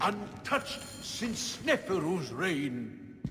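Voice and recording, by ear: In a put-on character voice, a man speaks at a very slow pace with fairly high pitch and big pitch swings.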